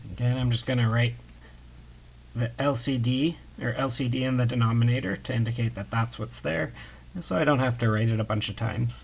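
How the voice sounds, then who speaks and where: Somewhat breathy, a man speaks at medium pitch and a fairly quick pace with ordinary pitch variation and long, frequent pauses. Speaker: math instructor. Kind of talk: lecture.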